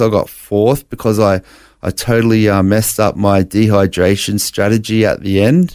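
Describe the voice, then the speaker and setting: A man's fairly low voice with an Australian accent, at a moderate pace, with fairly even intonation and a dry, close sound free of echo. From Brisbane, Australia. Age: 40s. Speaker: blind bodybuilder sharing faith story. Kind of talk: interview testimony. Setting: studio.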